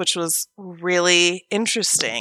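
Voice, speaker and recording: On a very clean recording with a silent background, a woman talks very slowly. Her medium-pitched voice has a bright, sharp tone. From Oregon, US West Coast. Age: 30s. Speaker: podcast co-host. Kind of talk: casual chat, storytelling.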